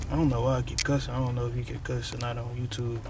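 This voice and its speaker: A man's voice comes through with a dry sound with no echo amid noticeable background noise. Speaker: vlogger. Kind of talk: casual vlog chat. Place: car. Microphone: phone near.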